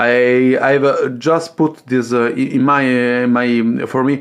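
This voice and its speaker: At a fairly slow pace, a man with an Italian accent talks in a medium pitch. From Italy. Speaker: coffee machine hobbyist YouTuber. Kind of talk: tutorial. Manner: hesitant, many fillers.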